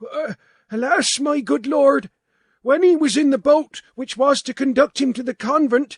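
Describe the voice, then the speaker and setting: At a moderate pace, someone performs a high-pitched, put-on character voice. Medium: read story. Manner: stuttering, hesitant.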